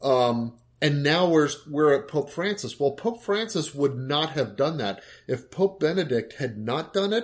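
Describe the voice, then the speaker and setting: In a quiet background, a man with a fairly high, somewhat breathy voice speaks fairly slowly with lively intonation. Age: 50s. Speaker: podcast co-host. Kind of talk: casual chat.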